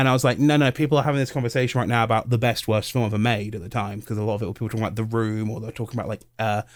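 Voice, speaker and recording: This man talks at a very fast pace in a British accent, his pitch medium, on a very clean recording with a silent background. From England. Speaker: YouTuber and podcast co-host. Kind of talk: casual chat. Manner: animated.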